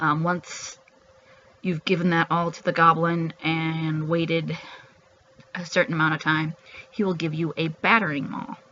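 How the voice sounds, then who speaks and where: Noticeable background noise sits behind speech at a moderate pace with long, frequent pauses. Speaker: video game streamer. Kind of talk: gameplay commentary. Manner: hesitant, many fillers.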